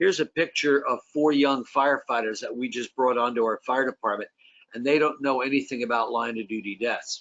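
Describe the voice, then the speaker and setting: A man talks at a fairly quick pace. He has a normal speaking voice at a medium pitch. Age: 60s. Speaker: fire service safety advocate. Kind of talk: panel discussion.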